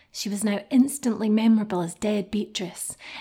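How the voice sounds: The speaker reads in a natural reading voice.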